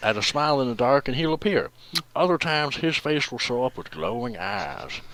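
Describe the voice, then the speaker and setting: A man with a fairly high voice talks at a moderate pace with lively intonation over noticeable background noise. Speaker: creepypasta reader. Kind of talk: comedic reading aloud. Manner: ironic with mocking asides.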